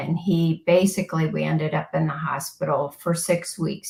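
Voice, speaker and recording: With an American accent and an ordinary speaking voice, a woman talks at a moderate pace, her pitch fairly low and intonation fairly even. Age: 60s. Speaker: podcast guest, former occupational therapist. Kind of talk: interview testimony.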